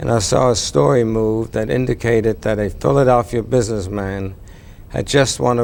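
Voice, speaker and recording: Over noticeable background noise, a man with a fairly low pitch talks at a moderate pace, with ordinary pitch variation. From Germany. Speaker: cable company co-founder. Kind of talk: TV interview.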